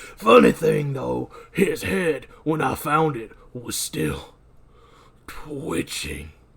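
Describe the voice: In a put-on character voice, a man speaks very slowly, sounding gravelly, raspy and strained.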